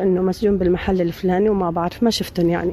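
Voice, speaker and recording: A woman rushes along at a very fast pace while noticeable background noise fills in behind her. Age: 50s. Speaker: returnee from a detention camp. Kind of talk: testimony.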